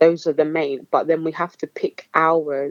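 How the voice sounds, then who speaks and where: A woman speaks with an Essex accent. Her pitch is very deep and low. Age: 20s. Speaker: spoken word poet. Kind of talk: interview answer.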